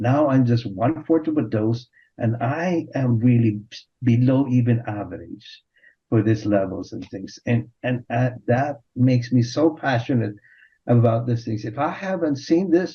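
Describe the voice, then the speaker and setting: Somewhat breathy at a medium pitch, a man speaks at a fairly slow pace with ordinary pitch variation. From Philippines. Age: 60s. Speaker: physician. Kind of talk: panel discussion. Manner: halting.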